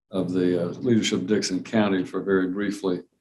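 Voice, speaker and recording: Speaking fairly quickly in a Southern US accent, a man keeps a fairly low pitch and a monotone, flat intonation. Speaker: judge. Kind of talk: courtroom proceedings. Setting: courtroom.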